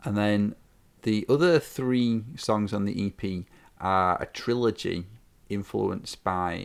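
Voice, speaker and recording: In a Yorkshire accent, a man speaks very slowly at a fairly low pitch on a very clean recording with a silent background. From northern England, Yorkshire. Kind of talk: interview. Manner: hesitant, many fillers and repeats.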